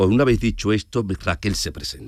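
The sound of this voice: A man talks at a fairly quick pace in a fairly low voice, his pitch swinging widely.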